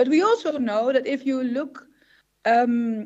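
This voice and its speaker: A woman with a Dutch accent talks at a moderate pace in a high voice. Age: 60s. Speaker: psychologist and professor. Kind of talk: conference presentation. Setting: symposium stage with audience.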